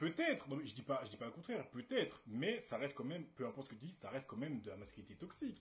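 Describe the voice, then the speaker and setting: A man with a fairly high pitch and a somewhat breathy voice talks very fast in an animated tone, his pitch swinging very widely. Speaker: debate stream host. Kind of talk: casual debate livestream. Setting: livestream with webcam.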